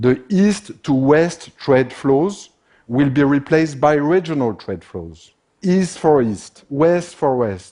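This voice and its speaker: A man with a French accent speaks very slowly in a dark, mellow tone, his fairly high voice rising and falling in lively intonation. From France. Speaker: business consultant. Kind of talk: conference talk.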